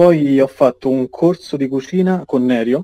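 Slowly, very slowly, a man speaks in a dark, mellow tone with fairly even intonation. The sound is dry and close, with no echo. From central Italy, Rieti. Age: 20s. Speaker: cook, meme page admin. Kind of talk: casual chat.

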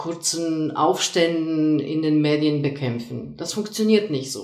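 A woman with a Polish accent speaks fairly slowly at a very deep, low pitch. Audible room echo surrounds her voice. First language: Polish (speaking German). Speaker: lecturer and soft skills coach. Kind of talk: casual discussion. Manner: hesitant with many fillers.

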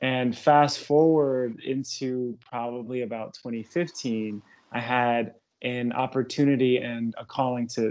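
The voice is an unremarkable speaking voice, and its intonation stays fairly even. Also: man. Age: 30s. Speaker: holistic wellness therapist and personal trainer. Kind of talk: casual chat.

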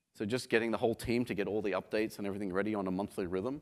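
Over a very clean recording with a silent background, a man speaks at a very fast pace with fairly even intonation. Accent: Australian. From Australia, Sydney. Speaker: software company founder and CEO. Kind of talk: conference talk. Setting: stage with audience. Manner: halting, many fillers.

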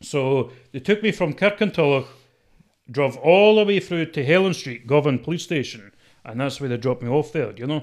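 The speaker has a strong Scottish accent, lively intonation and big swings in loudness. The pace is moderate, in a very clean recording with a silent background. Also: man, fairly high pitch for a man. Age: 20s. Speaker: TikTok personality. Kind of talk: casual chat.

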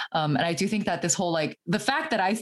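A woman talks at a fairly quick clip with lively intonation. Noticeable background noise runs underneath. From Fremont, California (Bay Area). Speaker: former political candidate and software engineer. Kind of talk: casual interview.

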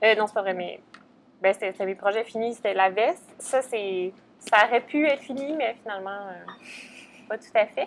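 Long, frequent pauses interrupt speech that otherwise moves at a moderate pace. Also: woman, fairly high pitch for a woman, ordinary pitch variation, big swings in loudness. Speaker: podcast co-host, knitting shop staff. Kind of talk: casual chat.

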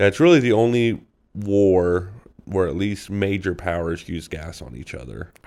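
Against a quiet background, a man speaks at a fairly slow pace and a very deep, low pitch. His intonation is lively, with big swings in loudness. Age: 20s. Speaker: podcast guest discussing history. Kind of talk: casual chat.

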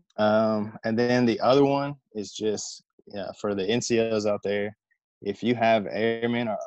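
A man with an American accent has a plain, everyday voice, a fairly low pitch, and fairly even intonation, recorded with a dry, close sound and no echo. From US South, Southwest Virginia. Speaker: air force tech sergeant. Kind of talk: casual interview.

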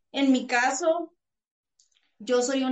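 A woman's high-pitched voice. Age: 20s. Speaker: psychologist and parasport athlete. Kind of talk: interview.

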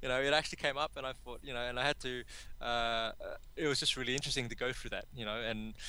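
Recorded very cleanly over a silent background, a man with an Australian accent speaks at a medium pitch in a bright, sharp tone. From Sydney, Australia. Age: 30s. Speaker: confidence coach. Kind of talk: podcast interview. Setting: call.

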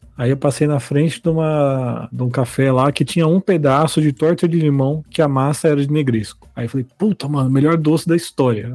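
Dry and close with no echo, a man's fairly high voice carries a dark, mellow tone, fairly even intonation and a fairly quick pace. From São Bernardo do Campo, São Paulo, Brazil. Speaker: podcast co-host. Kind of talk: casual chat.

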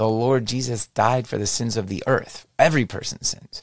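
Recorded very cleanly against a silent background, a man speaks at a medium pitch and a moderate pace. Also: dry, close sound with no echo. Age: 40s. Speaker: podcast host. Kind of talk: solo religious monologue. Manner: hesitant, many fillers.

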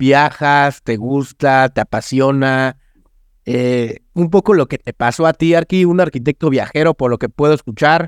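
A man with a Mexican accent speaks with ordinary pitch variation, recorded with a dry, close sound and no echo. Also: fairly high pitch for a man, fairly slow pace. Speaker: podcast host, architect. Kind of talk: interview. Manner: casual, animated.

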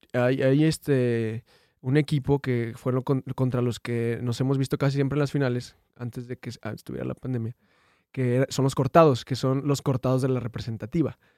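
A man talks at a moderate pace in a medium pitch, his tone dark and mellow and his intonation monotone and flat. The recording is very clean with a silent background, and the sound is dry and close with no echo. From Durango, Mexico. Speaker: viral internet personality. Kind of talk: casual chat. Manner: halting.

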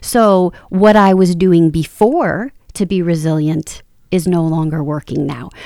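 In a very clean recording with a silent background, a woman speaks fairly slowly in a dark, mellow tone, fairly low in pitch with ordinary pitch variation. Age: 40s. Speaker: podcast co-host, motivational speaker and life coach. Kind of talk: casual chat.

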